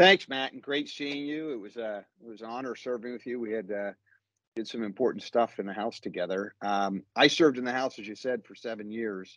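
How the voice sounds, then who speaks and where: Over a quiet background, a man talks at a fairly quick pace with big swings in loudness, ordinary pitch variation, and a dry sound with no echo. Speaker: guest. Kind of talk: interview answer. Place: office. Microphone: video call.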